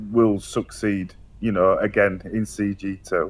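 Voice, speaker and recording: A man's fairly low voice in a Yorkshire accent, at a very slow pace. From Yorkshire, northern England. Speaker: online gaming community organiser. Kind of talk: casual interview. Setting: voice chat. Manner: hesitant, many fillers.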